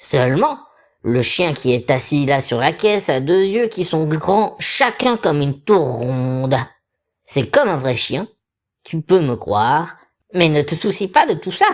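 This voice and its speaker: Set against a silent background in a very clean recording, a put-on character voice comes through at a middle pitch. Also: moderate pace. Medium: read story. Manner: wheedling and secretive.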